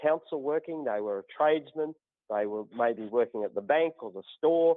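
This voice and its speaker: A man with an Australian accent at a fairly quick pace, with lively intonation. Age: 60s. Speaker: natural healer turned politician. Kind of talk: podcast interview.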